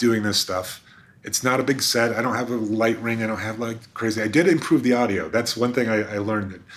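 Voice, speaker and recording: A man with an unremarkable speaking voice talks at a fairly quick pace, with medium pitch and ordinary pitch variation. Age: 50s. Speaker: social media food creator and marketer. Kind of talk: casual interview.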